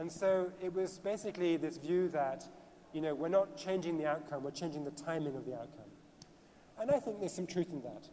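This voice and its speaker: Over noticeable background noise, a man with a British accent talks at a fairly quick pace in a fairly high voice with ordinary pitch variation. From Britain. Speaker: author and financial journalist. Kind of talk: panel discussion.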